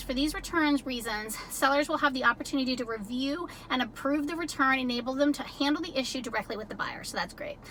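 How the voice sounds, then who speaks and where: A woman speaks very fast in a raised, projected voice, with a high pitch and ordinary pitch variation, over noticeable background noise. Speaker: ebay reseller youtuber. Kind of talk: tutorial.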